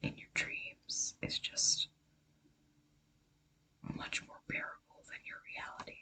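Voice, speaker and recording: Whispering fills the clip. The pace is very slow. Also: woman. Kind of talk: ASMR casual talk to camera. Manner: whispered.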